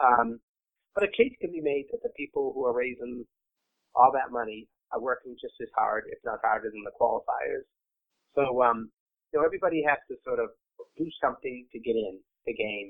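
A man speaks at a fairly quick pace with long, frequent pauses and big swings in loudness. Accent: American. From Massachusetts, Boston area. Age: 60s. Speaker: marathon race director. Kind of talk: interview.

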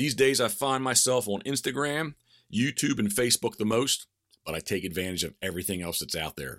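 Speaking with an American accent, a man talks at a fairly quick pace and medium pitch. His intonation is lively and his tone animated. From Maryland Eastern Shore. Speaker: hunting guide and podcast host. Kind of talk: casual monologue.

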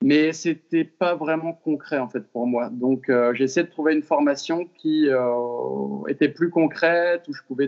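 Talking very slowly, this man has a fairly high-pitched voice. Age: 20s. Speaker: fitness coach. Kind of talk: interview. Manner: hesitant, many fillers.

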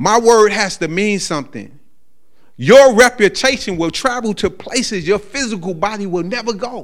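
At a moderate pace, a man talks with a high pitch and lively intonation. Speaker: lay preacher. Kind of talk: sermon. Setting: church with congregation. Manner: stammering repetitions.

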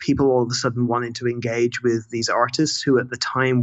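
A man speaks fairly quickly in a monotone, flat delivery. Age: 30s. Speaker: music writer and lecturer. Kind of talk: casual interview chat. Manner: halting, many repetitions.

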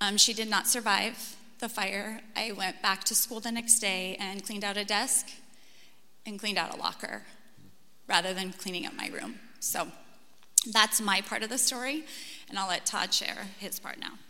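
Over noticeable background noise, a woman with an American accent speaks at a medium pitch and moderate pace, leaving long, frequent pauses. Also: fairly even intonation. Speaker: teacher. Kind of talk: testimony. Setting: church.

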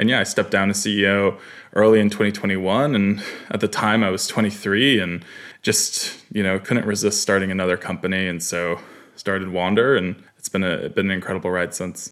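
In an American accent, a man with an unremarkable speaking voice talks at a fairly quick pace, his pitch fairly low and his intonation fairly even. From New York (Katonah, outside NYC). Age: 20s. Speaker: startup founder and CEO. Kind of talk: interview conversation.

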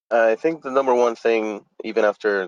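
Someone speaks at a moderate pace with a Spanish accent, and the sound is dry and close with no echo. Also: man. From Dominican Republic, moved to South Florida at 12. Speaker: architect and panelist. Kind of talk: panel discussion. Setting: online webinar.

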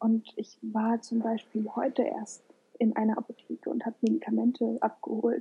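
Using vocal fry, a woman speaks at a moderate pace with monotone, flat intonation. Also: fairly high pitch for a woman. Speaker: podcast co-host. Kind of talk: casual chat.

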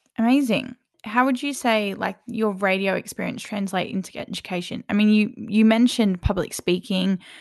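A woman's fairly high voice with an Australian accent, moderate pace and fairly even intonation over a quiet background. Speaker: student podcast host. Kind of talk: casual interview.

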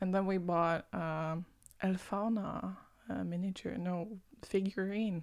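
Very slowly and with fairly even intonation, a woman with a non-native accent speaks on a very clean recording with a silent background. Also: medium pitch for a woman. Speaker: podcast co-host. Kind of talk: casual chat. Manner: laughs often.

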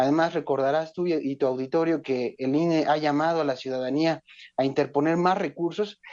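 In a normal speaking voice, a man talks at a moderate pace and fairly high pitch, with fairly even intonation and very even loudness. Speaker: legislative researcher. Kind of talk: phone interview. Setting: phone call. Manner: formal.

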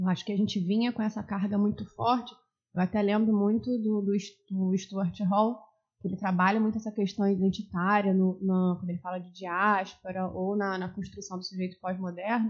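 Her voice somewhat breathy, a woman speaks at a moderate pace and a medium pitch with monotone, flat intonation. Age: 30s. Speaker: podcast co-host, former teacher. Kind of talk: casual chat.

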